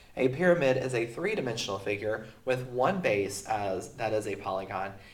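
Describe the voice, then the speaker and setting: Over noticeable background noise and audible room echo, a man of medium pitch talks at a moderate pace. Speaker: teacher. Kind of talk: recorded math lesson. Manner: casual with many fillers.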